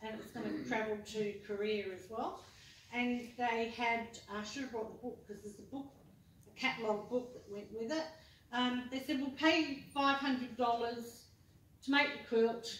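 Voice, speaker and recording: The speaker, in an Australian accent, keeps a fairly even intonation while the loudness swings widely, with audible room echo and noticeable background noise. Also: woman, fairly high pitch for a woman, moderate pace. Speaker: quilter and quilting teacher. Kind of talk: talk to a club audience. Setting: meeting hall with audience.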